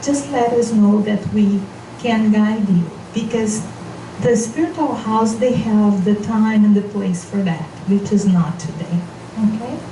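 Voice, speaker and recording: A woman with a non-native accent, fairly high pitch and fairly slow pace, amid noticeable background noise and audible room echo. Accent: non-native English speaker. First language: Portuguese. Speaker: spiritual seminar leader. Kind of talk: seminar talk.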